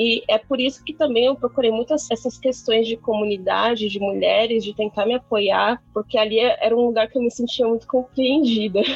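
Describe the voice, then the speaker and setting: A woman with a plain, everyday voice speaks at a moderate pace in a fairly high pitch, her intonation fairly even and hardly any pauses between words. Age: 20s. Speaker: software developer and university student. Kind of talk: casual interview chat.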